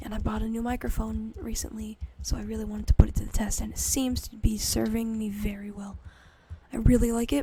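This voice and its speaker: Quiet and talking at a very fast pace, a woman shows big swings in loudness against noticeable background noise. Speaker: gaming YouTuber. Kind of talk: gameplay commentary. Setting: home recording late at night. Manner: quiet, close-mic ASMR-style talk; casual, hesitant with fillers.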